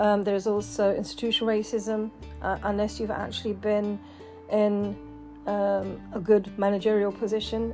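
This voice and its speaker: A woman speaks at a moderate pace with a British accent. Music plays in the background. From England, UK. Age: 50s. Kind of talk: casual talk to camera.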